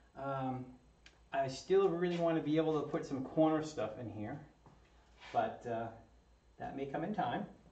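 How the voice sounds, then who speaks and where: Somewhat breathy, a man speaks at a moderate pace with ordinary pitch variation and long, frequent pauses, and the room echo is audible. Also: fairly high pitch for a man. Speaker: 3D printer kit builder, maker YouTuber. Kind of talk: live-streamed build tutorial. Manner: casual, hesitant with many fillers.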